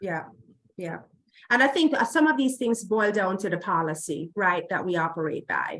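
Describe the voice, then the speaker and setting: A woman with a Jamaican accent speaks at a moderate pace. Her medium pitch swings very widely. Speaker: healthcare diversity executive. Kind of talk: conference Q&A. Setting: remote video link to conference.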